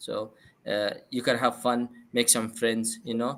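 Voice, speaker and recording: The accent is non-native. The speech moves at a moderate pace. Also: man. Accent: non-native accent, noted by self. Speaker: podcast host. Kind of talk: casual chat. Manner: hesitant, many fillers.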